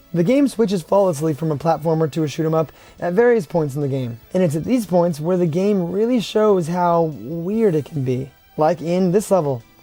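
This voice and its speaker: A high-pitched man with lively intonation at a moderate pace, with music in the background. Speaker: retro video game reviewer. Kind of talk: game review narration.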